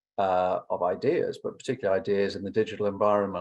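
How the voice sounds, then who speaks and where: Here a man talks at a very fast pace with an English accent. The background is quiet. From England. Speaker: law academic. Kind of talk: conference response talk. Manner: halting, many fillers and repetitions.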